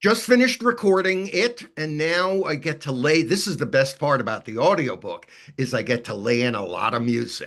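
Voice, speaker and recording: With very wide pitch swings, a man talks in a fairly high voice. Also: moderate pace. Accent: slight New York. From New York City, Brooklyn. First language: Yiddish. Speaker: author and musicologist. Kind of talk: interview Q&A. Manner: halting, many repetitions and fillers.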